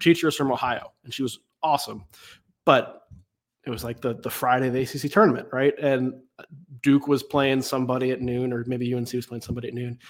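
A man with an American accent speaks in a plain, everyday voice at medium pitch and a fairly quick pace. His intonation is fairly even, but his loudness swings widely. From US South, Raleigh, North Carolina. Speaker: college basketball writer and podcaster. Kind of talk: casual interview.

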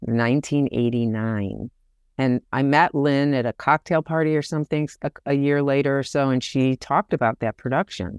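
In an American accent, a woman with a very deep, low pitch speaks at a moderate pace, the sound dry and close with no echo against a quiet background. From US Midwest, Detroit, Michigan. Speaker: theater director and choreographer. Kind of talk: interview.

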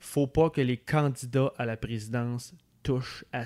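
On a very clean recording with a silent background and a dry, close sound with no echo, a man speaks in a normal speaking voice at a medium pitch, a moderate pace and with fairly even intonation. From Quebec City, Quebec. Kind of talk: casual political chat.

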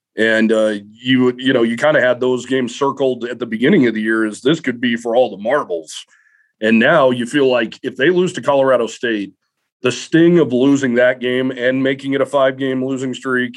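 A man's medium-pitched, normal speaking voice holds a moderate pace, with ordinary pitch variation. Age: 30s. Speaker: sports beat writer. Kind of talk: casual chat.

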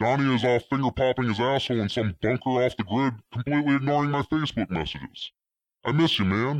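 A guttural male voice at a fairly quick pace, with ordinary pitch variation and a dry, close sound free of echo. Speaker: caller. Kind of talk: voicemail message. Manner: disguised deep throaty voice.

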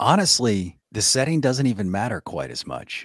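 In a dry, close recording with no echo and a silent, very clean background, a speaker with an American accent talks at a moderate pace with very wide pitch swings. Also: man. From US South, New Orleans. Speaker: podcast host, ghost storyteller. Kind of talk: casual interview.

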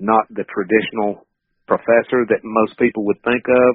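The speaker has a Southern US accent and keeps a fairly even intonation. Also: man. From North Carolina. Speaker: wildlife management professor. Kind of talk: interview.

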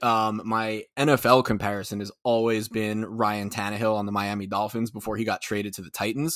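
A man with an unremarkable speaking voice talks at a fairly low pitch with fairly even intonation and hardly any pauses. The recording is very clean with a silent background. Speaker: sports podcaster. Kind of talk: casual chat.

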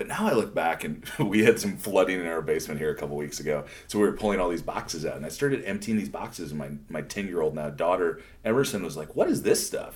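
A man talks at a very fast pace with lively intonation. His pitch is very deep and low. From South Dakota. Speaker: community builder. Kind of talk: interview conversation.

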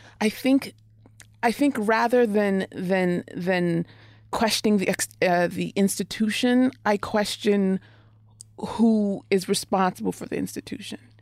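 A woman with an unremarkable speaking voice talks at a fairly slow pace and medium pitch. Her pitch variation is ordinary, and the recording is very clean with a silent background. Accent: American. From Oklahoma. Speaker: poet. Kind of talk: casual chat.

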